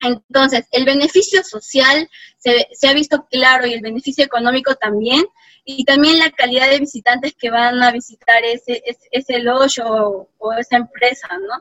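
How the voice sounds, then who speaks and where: High-pitched and at a moderate pace, a woman speaks with ordinary pitch variation in a dry, close sound with no echo. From Peru, Apurímac (Abancay, rural highlands). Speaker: park ranger and ecotourism engineer. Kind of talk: interview.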